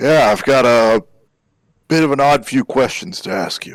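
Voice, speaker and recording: A man puts on a raspy character voice at medium pitch and a moderate pace. His intonation is lively, with big swings in loudness. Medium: actual play.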